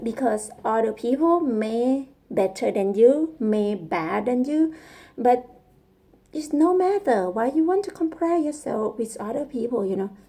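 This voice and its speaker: A woman with a Thai accent speaks at a fairly slow pace, her high pitch making very wide swings. Noticeable background noise sits behind her. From Thailand. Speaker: vlogger and coder learning English. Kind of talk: casual personal vlog monologue. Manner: halting, searching for words.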